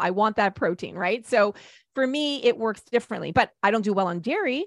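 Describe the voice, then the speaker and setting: A woman with a medium pitch talks with lively intonation, and the sound is dry and close with no echo. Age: 50s. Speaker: nutritionist. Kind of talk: casual chat.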